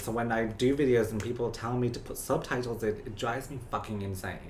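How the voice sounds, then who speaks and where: Someone speaks at a very fast pace with a British accent. Background noise is noticeable. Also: man. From UK. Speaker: TikTok creator. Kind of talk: casual chat. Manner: animated.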